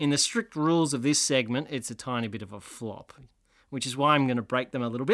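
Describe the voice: A plain reading aloud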